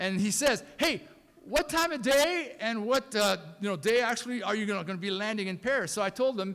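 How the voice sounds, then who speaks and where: A man talks at a fairly quick pace with a French accent, his high pitch rising and falling in lively intonation. The recording is very clean with a silent background. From France, raised in US from age ten. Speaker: pastor. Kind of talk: eulogy.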